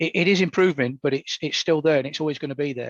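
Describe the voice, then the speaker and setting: Recorded with a dry, close sound and no echo, a man with an East Midlands accent speaks at a fairly high pitch with fairly even intonation. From England, Nottingham. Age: 60s. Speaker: Paralympian. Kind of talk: podcast interview.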